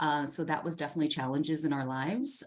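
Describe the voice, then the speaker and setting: Speaking with a Southeast Asian accent, a woman has a very deep, low pitch. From US, child of Hmong refugees. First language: Hmong. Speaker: news anchor. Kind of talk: interview conversation.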